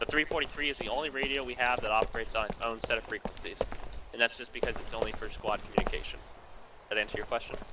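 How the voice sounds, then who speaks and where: A man speaking at a very fast pace over noticeable background noise. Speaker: game training instructor. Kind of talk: tutorial. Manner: loud.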